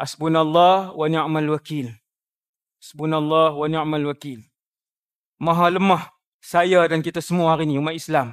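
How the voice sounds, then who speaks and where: The speech moves at a fairly slow pace with long, frequent pauses. Its intonation is fairly even. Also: man, fairly high pitch for a man. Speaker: Islamic preacher (ustaz). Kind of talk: religious lecture (ceramah).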